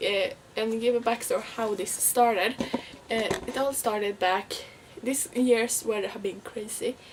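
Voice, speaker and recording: A woman talks in a Swedish accent at a fairly slow pace. Her pitch is fairly high and her intonation fairly even. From Sweden. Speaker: vlogger. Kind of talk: casual vlog talk. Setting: at home, window open. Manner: halting.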